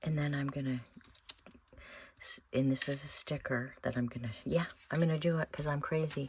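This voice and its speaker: Mumbling from a woman with a very deep, low pitch, amid noticeable background noise. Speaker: craft video maker. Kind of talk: tutorial. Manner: thinking out loud.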